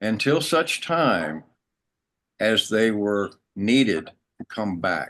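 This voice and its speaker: Speaking very slowly with long, frequent pauses, a man in an American accent uses a fairly low pitch. His pitch swings very widely. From United States. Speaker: spiritual teacher. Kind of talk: interview storytelling.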